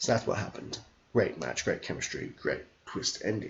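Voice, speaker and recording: At a fairly quick pace, a man speaks with an Australian accent. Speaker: wrestling streamer. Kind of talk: casual chat. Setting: live stream. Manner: fast; animated.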